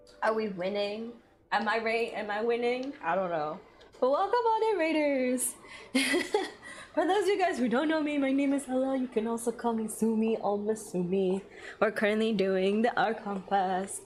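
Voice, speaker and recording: Through noticeable background noise, a woman with a fairly high pitch speaks with lively intonation. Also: moderate pace. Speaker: vtuber streamer. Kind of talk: live gaming stream chat. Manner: chatty, repetitive.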